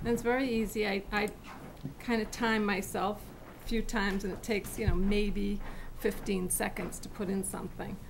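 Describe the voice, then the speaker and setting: A woman at a moderate pace, flat and monotone, with noticeable background noise. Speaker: town staff member. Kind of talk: software demonstration. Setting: town board meeting. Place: meeting room. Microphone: podium.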